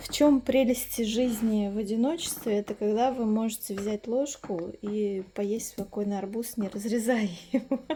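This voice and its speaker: The speaker talks at a fairly slow pace with fairly even intonation. Noticeable background noise sits behind the voice. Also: woman, fairly high pitch for a woman. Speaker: village lifestyle vlogger. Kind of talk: casual vlog chat.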